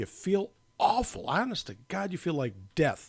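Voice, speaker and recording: Male voice with vocal fry and very wide pitch swings. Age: 60s. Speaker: doctor. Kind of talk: casual chat.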